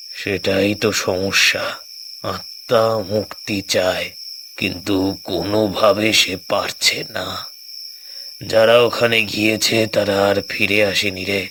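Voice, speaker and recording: Using a cartoonish character voice with a fairly low pitch, a man talks at a very slow pace over clear background noise. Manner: solemn, ominous storytelling.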